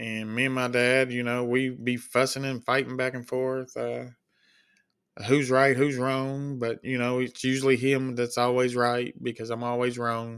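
In a very clean recording with a silent background, a man with a Kentucky accent speaks at a medium pitch in a monotone, flat intonation. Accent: Kentucky Southern US, noticeable. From Kentucky, US. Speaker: podcast host, CNA and sheep and goat farmer. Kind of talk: casual solo podcast monologue. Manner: casual, filler-heavy, rambling.

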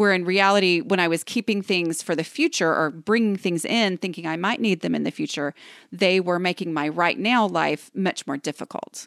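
A woman with an ordinary speaking voice talks at a moderate pace with hardly any pauses and ordinary pitch variation, in a dry, close sound with no echo. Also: medium pitch for a woman, very clean recording, silent background. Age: 40s. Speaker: decluttering expert and author. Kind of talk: interview.

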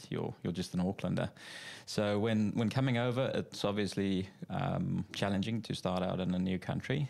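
A man with a South African accent talks at a moderate pace in a fairly low pitch, with ordinary pitch variation and very even loudness. The recording is very clean, with a silent background. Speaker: financial adviser. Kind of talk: casual interview. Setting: studio.

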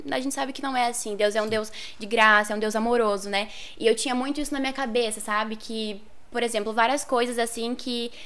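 A woman with a fairly high pitch talks in a plain, everyday voice, keeping her intonation fairly even. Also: fairly quick pace. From northern Paraná, Brazil. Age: 20s. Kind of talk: casual interview.

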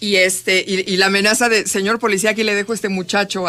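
A woman's voice comes across bright and sharp, with fairly even intonation. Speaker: radio host. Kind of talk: casual chat. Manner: loud.

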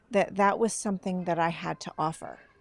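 Dry and close with no echo, the recording captures a woman speaking in an American accent. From Northern California. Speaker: filmmaker and writer. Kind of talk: casual chat. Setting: studio.

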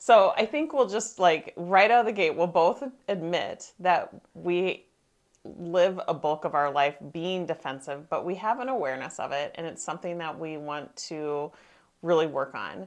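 Lively intonation and big swings in loudness mark a normal speaking voice. The pace is moderate. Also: woman, fairly low pitch for a woman, quiet background. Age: 50s. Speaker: podcast co-host, life coach. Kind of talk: casual chat.

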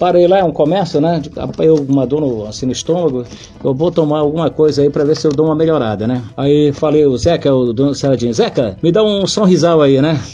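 Fairly quick and with hardly any pauses, a man speaks at a fairly high pitch with ordinary pitch variation. His loudness stays very even, and background noise is noticeable. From Brazil, Santarém (Pará). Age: 60s. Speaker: radio reporter. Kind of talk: interview, casual storytelling.

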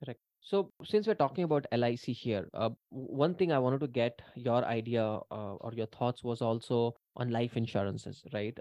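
A man talks at a medium pitch in an ordinary speaking voice. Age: 30s. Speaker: podcast host. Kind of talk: interview.

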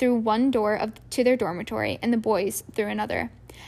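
Someone reads aloud plainly, the pitch moving in an ordinary way.

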